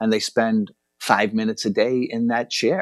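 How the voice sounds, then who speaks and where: In a very clean recording with a silent background and a dry, close sound with no echo, a man speaks with an American accent. His is a plain, everyday voice at medium pitch, with ordinary pitch variation and a moderate pace. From Boston, Massachusetts. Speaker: Franciscan priest. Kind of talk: radio interview.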